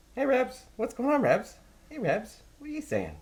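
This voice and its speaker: A put-on character voice, high in pitch. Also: moderate pace. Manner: excited.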